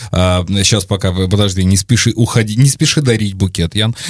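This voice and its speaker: A man with fairly low pitch talks at a fairly quick pace in an unremarkable speaking voice. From Volgograd region, Russia. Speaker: podcast host. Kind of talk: interview.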